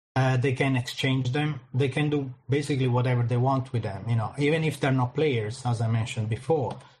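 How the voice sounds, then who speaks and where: A man's medium-pitched voice with an Italian accent, somewhat breathy, his intonation fairly even. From Italy. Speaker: crypto marketing project manager. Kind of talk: interview.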